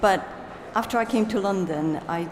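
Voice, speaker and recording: Medium-pitched female speech, echoing audibly off the room amid noticeable background noise. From Poland. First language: Polish. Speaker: literary translator. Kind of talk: panel discussion.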